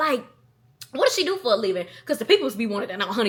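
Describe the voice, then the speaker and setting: A woman's fairly high, animated voice with a Southern US accent, against noticeable background noise. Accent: Southern country. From US South, Athens, Georgia. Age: 20s. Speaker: content creator. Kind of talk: casual vlog Q&A. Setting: at home alone.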